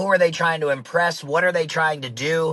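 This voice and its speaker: A man with a fairly high pitch at a fairly quick pace. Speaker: navy chief, entrepreneur and author. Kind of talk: podcast interview.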